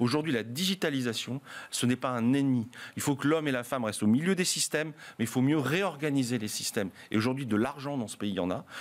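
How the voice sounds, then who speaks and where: A man speaks at a very fast pace. His pitch varies in an ordinary way. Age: 50s. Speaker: hospitality trade union leader; guest. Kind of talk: panel debate. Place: studio. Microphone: studio mic.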